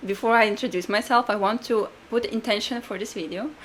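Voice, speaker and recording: Her pitch fairly high with ordinary variation, a woman speaks with a Latvian accent. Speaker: podcast co-host, astrologer and life coach. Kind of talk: casual podcast chat.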